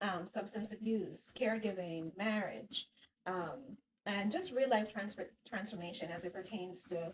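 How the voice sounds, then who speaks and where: A somewhat breathy woman's voice at medium pitch, with ordinary pitch variation and a fairly slow pace. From Jamaica. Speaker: psychotherapist. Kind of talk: casual talk to camera. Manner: walking on treadmill while talking.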